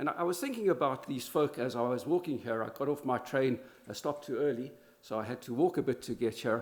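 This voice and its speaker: A man with a medium pitch, talking at a very fast pace. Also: ordinary pitch variation. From South Africa. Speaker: law professor. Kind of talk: conference talk. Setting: conference in Berlin. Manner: halting, many fillers and restarts.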